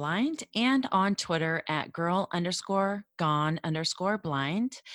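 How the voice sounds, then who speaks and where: An ordinary speaking voice from a woman, fairly low in pitch with ordinary pitch variation, in a dry, close sound with no echo and a very clean recording with a silent background. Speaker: blogger with low vision. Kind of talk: roundtable discussion.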